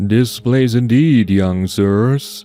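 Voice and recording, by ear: Doing a booming, put-on character voice, a man speaks at a medium pitch with ordinary pitch variation as faint music plays in the background.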